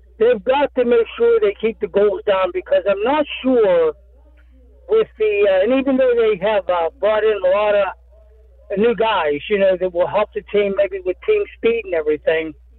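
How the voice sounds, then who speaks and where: A high-pitched man with an American accent at a moderate pace, ordinary pitch variation and very even loudness, over noticeable background noise. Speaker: sports radio caller. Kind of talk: call-in sports talk. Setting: phone call.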